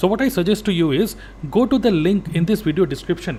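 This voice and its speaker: A man speaks with an Indian accent. His pace is fairly quick, with ordinary pitch variation. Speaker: network marketing coach. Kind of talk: sales pitch.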